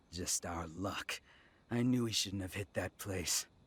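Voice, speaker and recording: Using a raspy put-on character voice, a man speaks at a fairly slow pace with a very deep, low pitch. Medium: video game. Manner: swaggering, wheedling.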